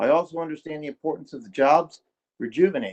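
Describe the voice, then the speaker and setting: At a fairly quick pace, a man with an American accent speaks in a normal speaking voice, fairly high in pitch with lively intonation. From Maryland. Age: 60s. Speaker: public commenter. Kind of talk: public hearing testimony.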